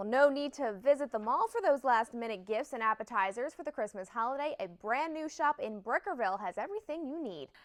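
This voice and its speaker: With an American accent, a woman talks at a fairly quick pace with high pitch, lively intonation, hardly any pauses and big swings in loudness, in a dry, close sound with no echo. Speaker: TV news anchor and reporter. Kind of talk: local TV news reporting.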